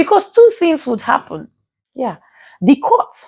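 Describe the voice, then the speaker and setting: A woman with a Nigerian accent and very wide pitch swings, in a dry, close sound with no echo. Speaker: legal commentator. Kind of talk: vlog commentary. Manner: halting, stuttering.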